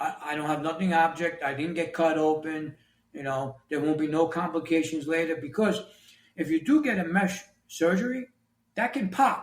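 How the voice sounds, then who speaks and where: With a New York accent, a man with a high pitch speaks with ordinary pitch variation. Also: moderate pace. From New York City. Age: 60s. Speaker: author and construction leader. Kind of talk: interview.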